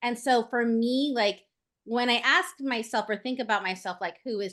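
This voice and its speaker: A woman speaks in a normal speaking voice at a fairly high pitch, with ordinary pitch variation. Her pace is moderate, and the background is quiet. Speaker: voice-over artist and actress. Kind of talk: podcast guest interview answer. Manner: chatty, upbeat, friendly.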